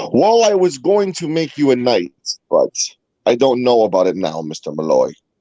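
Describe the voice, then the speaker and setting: With a Boston accent, a man speaks at a medium pitch and a moderate pace. His tone is dark and mellow, and his pitch swings very widely. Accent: sounds like Boston. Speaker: guest panelist, fellow show host. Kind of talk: casual chat.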